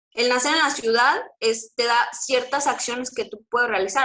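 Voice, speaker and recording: A woman speaks with a slight Mexico City accent and fairly even intonation. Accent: slight Mexico City (chilango). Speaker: teacher. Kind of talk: lecture. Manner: hesitant, many fillers.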